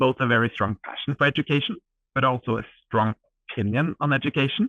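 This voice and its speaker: With a Norwegian accent, a man talks at a fairly quick pace. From Norway. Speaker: edtech startup co-founder. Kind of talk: interview. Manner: animated.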